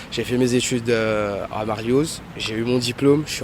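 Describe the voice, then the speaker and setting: Noticeable background noise sits behind this man's voice. He talks at a medium pitch with monotone, flat intonation. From Mauritius. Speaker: self-employed passer-by interviewed. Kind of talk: street interview.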